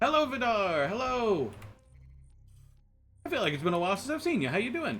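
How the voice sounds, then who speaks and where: With an American accent, a man speaks at a fairly quick pace and a high pitch, using very wide pitch swings amid audible room echo. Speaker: streamer. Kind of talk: live stream chat. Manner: stammering repetitions.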